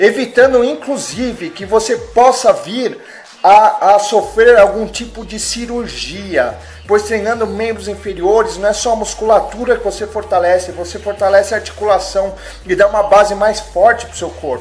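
Over faint music in the background, a high-pitched man talks at a moderate pace with fairly even intonation. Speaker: fitness vlogger. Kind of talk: casual fitness advice vlog. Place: home room. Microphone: webcam.

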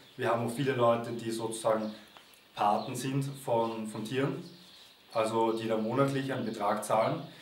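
The man speaks at a moderate pace in a monotone, flat way. Light background noise and audible room echo are present. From Austria, Vienna. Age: 20s. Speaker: volunteer at animal sanctuary. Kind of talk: testimonial appeal to camera. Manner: halting, with fillers and repetitions. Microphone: camera far.

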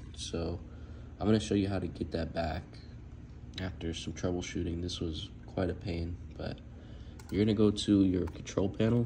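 A man's somewhat breathy voice, very deep and low in pitch, at a moderate pace with long, frequent pauses. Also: ordinary pitch variation. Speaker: tech tutorial maker. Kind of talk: screen-recorded tech tutorial narration. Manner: casual.

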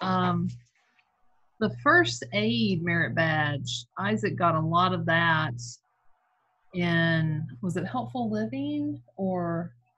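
A woman speaks at a slow pace with a fairly low pitch. Audible room echo surrounds her voice. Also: lively intonation.

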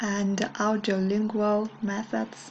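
A woman speaks with a Russian accent in a fairly high voice. Light background noise can be heard. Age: 20s. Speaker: English teacher. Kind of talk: video monologue. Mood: warm, smiling. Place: home room. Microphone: webcam.

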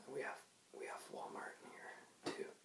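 Whispered speech from a man, at a moderate tempo. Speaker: vlogger. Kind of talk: casual vlog chat. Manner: soft-spoken, quiet ASMR voice. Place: home room. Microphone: webcam.

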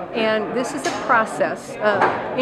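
A woman against loud background noise. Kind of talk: interview answer. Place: hall.

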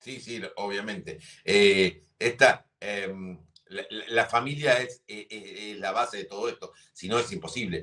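In a Rioplatense accent, a man with a medium pitch and bright, sharp tone speaks at a very slow pace. His loudness swings widely while his pitch varies in an ordinary way. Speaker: sports TV host. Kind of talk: interview.

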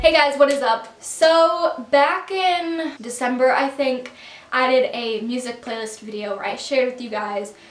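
Audible room echo surrounds a woman's high-pitched voice. She talks at a moderate pace. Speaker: vlogger. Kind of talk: casual vlog chat. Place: home room. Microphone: camera far.

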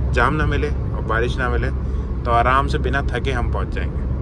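A man speaks at a moderate pace against loud background noise. The sound is dry, with no echo. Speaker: driver vlogger. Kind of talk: casual vlog chat. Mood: relaxed. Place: car. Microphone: phone near.

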